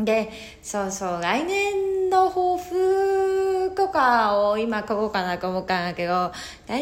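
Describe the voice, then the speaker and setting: Her fairly high voice makes very wide pitch swings as the woman speaks. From Hokkaido, Japan. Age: 30s. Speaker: podcaster on psychology and spirituality. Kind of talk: solo talk. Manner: casual, hesitant with fillers.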